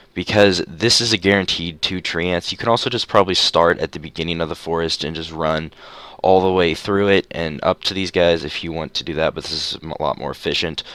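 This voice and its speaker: The voice has a bright, sharp tone, fairly even intonation and a fairly quick pace. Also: man, very deep, low pitch for a man. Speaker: gaming youtuber. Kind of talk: gameplay tutorial. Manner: stuttering.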